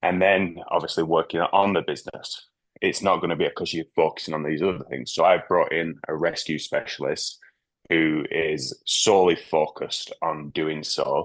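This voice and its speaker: The speaker has a Manchester accent. The pace is moderate. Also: man. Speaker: business owner. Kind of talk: group video call discussion.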